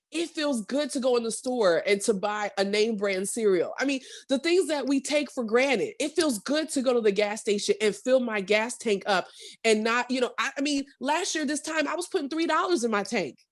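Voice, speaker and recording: On a very clean recording with a silent background, a woman speaks loudly at a moderate pace, her high-pitched voice animated in tone with lively intonation. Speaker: entrepreneur and radio personality. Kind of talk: casual chat.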